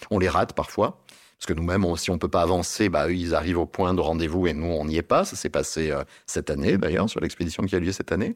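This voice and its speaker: A man with a very deep, low voice talks very fast with fairly even intonation in a very clean recording with a silent background. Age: 50s. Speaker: travel agency director. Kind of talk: interview. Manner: halting.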